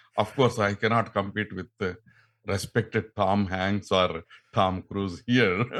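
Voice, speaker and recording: With a Telugu accent, a man speaks at a fairly slow pace and a fairly low pitch, his intonation fairly even, on a very clean recording with a silent background. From India, Andhra Pradesh. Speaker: radio actor and scientist. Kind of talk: podcast interview. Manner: halting.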